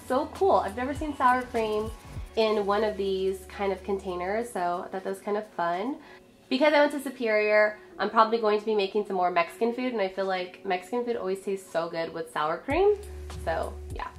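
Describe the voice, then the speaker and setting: Backed by music, a woman speaks at a fairly high pitch and a fairly quick pace with lively intonation. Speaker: lifestyle vlogger. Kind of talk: casual haul video. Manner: chatty, informal.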